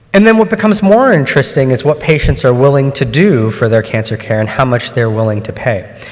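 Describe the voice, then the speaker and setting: There is noticeable background noise behind the speaker. A man talks at a fairly quick pace with lively intonation. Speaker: oncologist and researcher. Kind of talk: conference talk. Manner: hesitant with many fillers.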